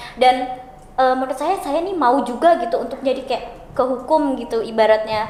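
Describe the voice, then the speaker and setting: Speaking fairly quickly in a high voice with ordinary pitch variation, a woman is heard over noticeable background noise and audible room echo. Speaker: law student. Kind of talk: casual podcast chat. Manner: talkative.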